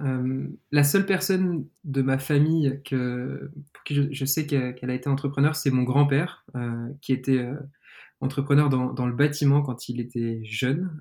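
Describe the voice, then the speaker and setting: This man has a dark, mellow tone and a medium pitch. He talks at a moderate pace with fairly even intonation. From France, Lyon. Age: 20s. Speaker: startup founder. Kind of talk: interview.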